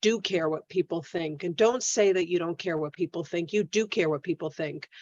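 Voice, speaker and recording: A woman with a plain, everyday voice speaks in a medium pitch with ordinary pitch variation. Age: 50s. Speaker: social media business coach. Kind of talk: online coaching class. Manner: conversational.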